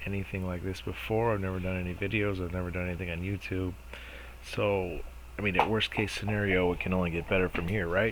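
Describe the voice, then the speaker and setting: A man's very deep, low voice at a very fast pace, with fairly even intonation and audible room echo. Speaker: DIY home renovation vlogger. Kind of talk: casual vlog intro to camera. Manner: mumbling, not enunciating clearly.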